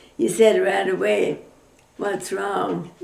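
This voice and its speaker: A woman with an American accent speaks fairly slowly against noticeable background noise. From Oklahoma, USA. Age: 80s+. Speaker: retired dairy farmer. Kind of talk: oral history interview answer.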